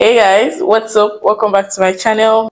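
At a moderate pace, a woman uses a raspy put-on character voice, fairly high in pitch and fairly even in intonation. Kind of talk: casual vlogger greeting.

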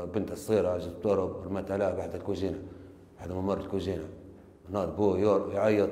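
A man speaks in a dark, mellow tone with a flat, monotone delivery and a fairly quick pace. Some room echo can be heard. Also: fairly low pitch for a man. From Libya. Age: 30s. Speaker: confessing suspect. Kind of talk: recorded confession. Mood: subdued, flat narration. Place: office. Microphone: lapel.

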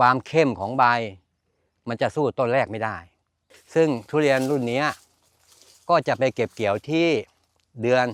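A man with a plain, everyday voice speaks at medium pitch with ordinary pitch variation, the sound dry and close with no echo, in a very clean recording with a silent background. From eastern Thailand, Chanthaburi. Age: 60s. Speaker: farmer. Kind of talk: interview.

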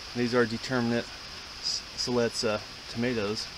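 Over noticeable background noise, a man speaks at a fairly quick pace in a monotone, flat intonation, with a dry sound and no echo. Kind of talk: casual vlog chat. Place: garden. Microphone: phone near.

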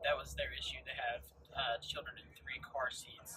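Against noticeable background noise, the talking keeps a moderate pace. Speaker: car salesman driving. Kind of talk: product commentary. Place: car. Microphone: phone near.

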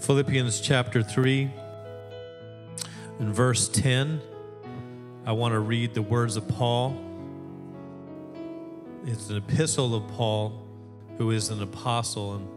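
Against clear background music, a man speaks at a very slow pace with fairly even intonation. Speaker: pastor. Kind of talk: sermon. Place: church. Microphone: handheld.

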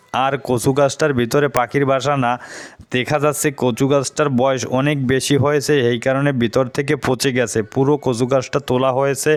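A man speaks at a medium pitch with monotone, flat intonation. His loudness stays very even. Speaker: YouTube vlogger. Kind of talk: vlog narration.

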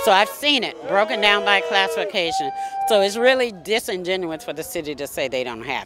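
A woman at a fairly quick pace, with very wide pitch swings, a dry sound with no echo and loud music in the background. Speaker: union representative. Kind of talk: rally interview. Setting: outdoor rally. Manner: firm, indignant. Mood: indignant, earnest. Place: street. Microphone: handheld.

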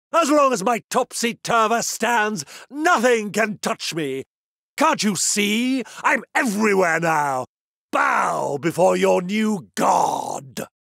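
Heard on a very clean recording with a silent background, a man puts on a character voice. He speaks at a high pitch and a very slow pace. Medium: dub. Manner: theatrical, gloating, mocking.

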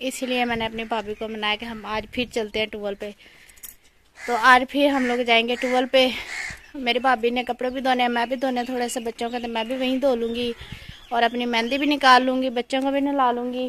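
A woman speaks at a moderate pace with a high pitch and flat, monotone intonation. The sound is dry with no echo, over light background noise. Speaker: village vlogger. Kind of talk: casual vlog chat. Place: farm. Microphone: phone near.

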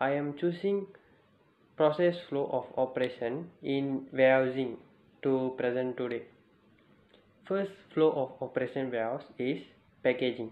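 A man speaks at a medium pitch with ordinary pitch variation. Audible room echo surrounds his voice. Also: moderate pace.

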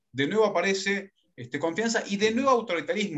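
The background stays quiet while a man talks. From Argentina, Córdoba and Buenos Aires; Argentina. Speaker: leadership consultant and workshop facilitator; workshop facilitator. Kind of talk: workshop lecture. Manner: fast. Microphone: video call.

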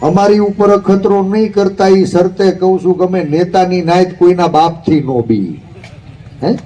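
A man talks in a high-pitched voice, keeping his loudness very even. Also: ordinary pitch variation. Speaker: opposition politician. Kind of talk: rally speech. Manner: animated.

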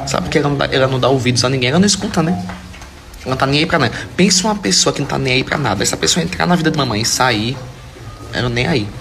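A man rattles along at a very fast pace while clear music plays in the background. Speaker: social media creator. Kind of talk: casual vlog chat. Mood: amused, teasing about his mother. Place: home room. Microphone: phone near.

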